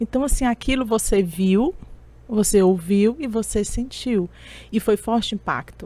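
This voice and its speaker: A woman speaks at a fairly slow pace with a fairly high pitch and ordinary pitch variation. Her tone is dark and mellow, and somewhat breathy. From Brazil, Teresina (Piauí). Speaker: public speaking mentor and coach. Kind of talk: interview.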